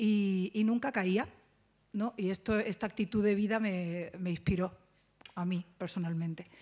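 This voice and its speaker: In a dark, mellow tone, a woman speaks at a fairly slow pace. Her intonation is fairly even. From Jerez, Cádiz, Andalusia; Andalusia, Spain. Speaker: actress. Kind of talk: press conference. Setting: press conference at film festival. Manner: halting. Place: hall. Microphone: podium.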